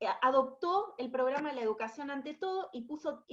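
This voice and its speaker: A woman with an Argentine accent speaks in a high pitch. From Argentina. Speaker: education specialist at international organization. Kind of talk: webinar presentation. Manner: hesitant, many fillers and repetitions.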